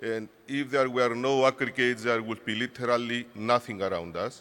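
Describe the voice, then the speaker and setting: Someone talks at a moderate pace in a Cypriot accent. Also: man. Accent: Greek Cypriot accent in English. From Cyprus. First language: Greek. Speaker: industry association director. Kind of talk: conference speech. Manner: halting.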